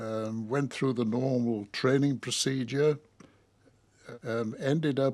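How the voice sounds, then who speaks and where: Recorded very cleanly against a silent background, a man speaks at a very slow pace with medium pitch and fairly even intonation. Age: 90s. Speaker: war veteran. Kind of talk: interview. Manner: halting.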